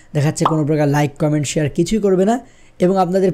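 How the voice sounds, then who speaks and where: A man with a high pitch talks in a dark, mellow tone. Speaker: tech YouTuber. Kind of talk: tutorial. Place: studio. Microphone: studio mic.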